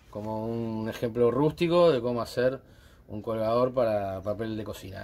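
Moderate-paced male speech with ordinary pitch variation. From Uruguay. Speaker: DIY woodworking channel host. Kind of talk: DIY tutorial and vlog. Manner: hesitant with fillers.

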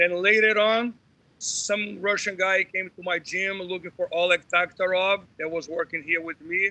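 A man projects a raised, high-pitched voice with a bright, sharp tone, speaking at a moderate pace with fairly even intonation in a dry sound with no echo. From Brazil. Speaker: jiu-jitsu instructor. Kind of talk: casual chat. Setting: video call. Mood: enthusiastic storytelling. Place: home room. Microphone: video call.

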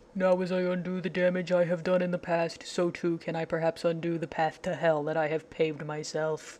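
In a put-on character voice of middle pitch, the speaker goes at a fairly quick pace with monotone, flat intonation and hardly any pauses. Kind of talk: mock-tragic soliloquy. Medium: fan dub. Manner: melodramatic, brooding, self-pitying; solemn, wounded.

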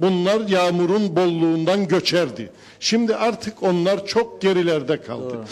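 A man talks at a fairly slow pace in a high pitch with ordinary pitch variation. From Northern Cyprus. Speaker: civil society spokesman. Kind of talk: town hall speech. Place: hall. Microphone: handheld.

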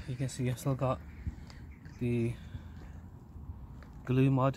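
At a fairly slow pace, a man talks over noticeable background noise in a dry sound with no echo. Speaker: RC hobby vlogger. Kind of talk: casual vlog chat. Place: street. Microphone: phone near.

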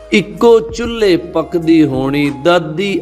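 Lively intonation over music in the background. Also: man. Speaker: poetry reciter. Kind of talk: poetry reading.

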